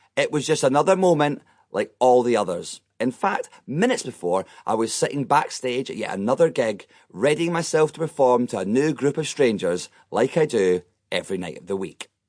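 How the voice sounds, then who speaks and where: This man's voice sits fairly high and has vocal fry. He talks at a fairly quick pace with very wide pitch swings. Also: quiet background. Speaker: comedian and audiobook narrator. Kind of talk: comedic memoir audiobook narration. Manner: wry, comedic, self-deprecating.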